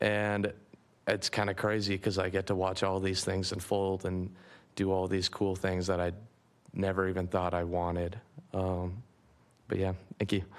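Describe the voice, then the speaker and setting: In a very clean recording with a silent background, a man with a very deep, low pitch speaks at a moderate pace with monotone, flat intonation, very even loudness and long, frequent pauses. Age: 20s. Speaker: youth in addiction recovery. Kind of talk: public testimony.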